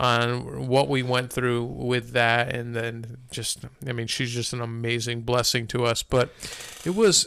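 Noticeable noise sits behind the voice. The delivery is at a moderate tempo. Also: man. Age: 50s. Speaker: podcast co-host. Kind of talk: casual chat and testimony.

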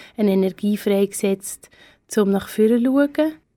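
A woman's fairly high voice, dark and mellow in tone, at a fairly slow pace. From Switzerland, Aargau. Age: 30s. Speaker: art historian, head of a cultural venue. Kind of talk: radio interview.

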